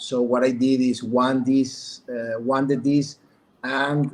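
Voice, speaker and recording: A man with a Mexican accent speaks at a fairly high pitch. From Mexico. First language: Spanish. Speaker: businessman. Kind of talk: testimony. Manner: halting.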